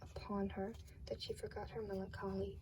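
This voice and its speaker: A soft-spoken woman talks at a moderate pace. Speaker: ASMR creator. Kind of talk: ASMR fairy tale reading.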